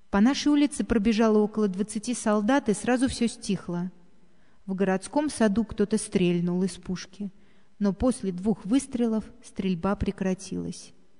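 A woman with a medium-pitched, somewhat breathy voice and a dark, mellow tone speaks at a fairly slow pace with ordinary pitch variation. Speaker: narrator reading a memoir.

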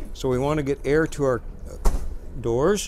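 A man talks over light background noise. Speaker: bus operator or trainer. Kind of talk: tutorial. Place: bus.

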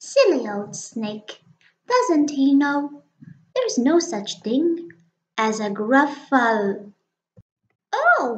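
A woman puts on a character voice, talking at a high pitch and a very slow pace. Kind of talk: children's picture book reading. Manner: cheeky, boastful, confident.

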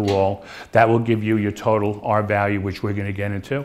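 Light background noise behind a male voice. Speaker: presenter. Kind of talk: sales presentation. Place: hall.

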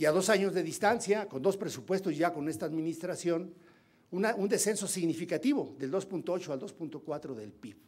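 Speaking at a fairly quick pace, a man uses a high voice with lively intonation. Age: 60s. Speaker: legislator. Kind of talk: parliamentary speech. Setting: parliamentary forum. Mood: critical, pointed. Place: hall. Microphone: podium.

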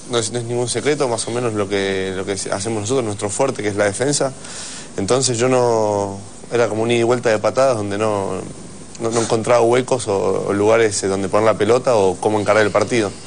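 Light background noise runs under this man's voice. He speaks at a fairly quick pace with fairly even intonation. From Argentina. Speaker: rugby player; guest. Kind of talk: TV interview. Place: studio. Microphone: lapel.

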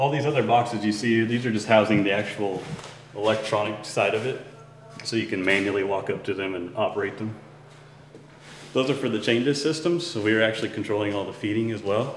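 Very fast speech with ordinary pitch variation, audible room echo and light background noise. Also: man, fairly low pitch for a man. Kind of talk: tour explanation. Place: factory.

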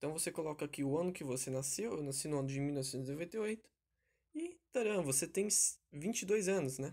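Against a silent background on a very clean recording, the speech keeps a moderate pace. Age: 20s. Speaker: tech tutorial youtuber. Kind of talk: tutorial. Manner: casual, conversational.

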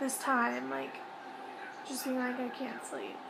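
A woman speaks at a high pitch against noticeable background noise. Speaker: vlogger. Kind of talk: casual vlog chat. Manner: drowsy, slow, hesitant speech. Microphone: phone near.

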